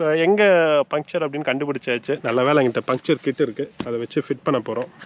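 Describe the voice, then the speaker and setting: Speaking at a fairly quick pace, a man uses fairly high pitch and ordinary pitch variation. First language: Tamil. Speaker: motorcycle vlogger. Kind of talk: casual vlog narration mixing Tamil and English. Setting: outdoors on a forest trail.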